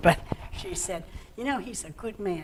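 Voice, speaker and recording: Talking fairly fast, a woman is heard over clearly audible background noise. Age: 70s. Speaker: senior center member. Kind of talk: interview.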